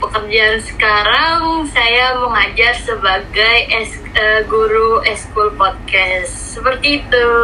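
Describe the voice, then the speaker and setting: Through noticeable background noise, a woman with a fairly high voice speaks at a very slow pace with hardly any pauses. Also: ordinary pitch variation, very even loudness. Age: 20s. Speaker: university student and extracurricular teacher. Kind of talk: interview. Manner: casual, with fillers.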